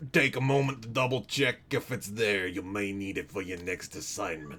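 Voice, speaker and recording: A man uses a put-on character voice, raspy and fairly low-pitched, with lively intonation at a moderate pace. Clear music plays in the background. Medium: game stream. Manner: patient, explanatory.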